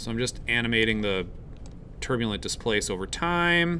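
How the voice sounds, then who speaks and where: A man speaks in a bright, sharp tone. Audible echo from the room surrounds his voice. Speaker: college instructor. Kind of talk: lecture. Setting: live class with students.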